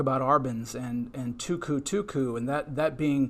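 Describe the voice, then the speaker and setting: This man's voice sits at a fairly high pitch. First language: Spanish. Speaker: tuba artist and educator. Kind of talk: panel webinar discussion.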